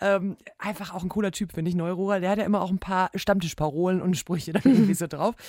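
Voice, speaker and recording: This woman talks very fast, her pitch fairly low. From Ruhr area, Germany. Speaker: sports podcast co-host. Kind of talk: casual chat.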